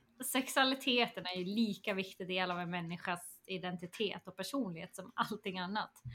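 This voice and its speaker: A woman speaks at a moderate pace in a bright, sharp tone, with ordinary pitch variation. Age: 30s. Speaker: education coordinator. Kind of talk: casual chat.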